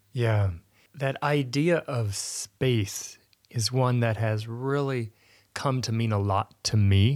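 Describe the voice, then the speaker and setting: This man talks at a very slow pace in a medium pitch. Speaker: podcast host. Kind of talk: casual chat. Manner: joking.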